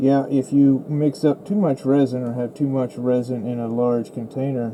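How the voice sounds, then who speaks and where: A man talks at a fairly slow pace in a relaxed tone, his intonation fairly even. Noticeable background noise runs underneath. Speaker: resin crafter, small online shop owner. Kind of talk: casual crafting tutorial narration. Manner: relaxed, hesitant.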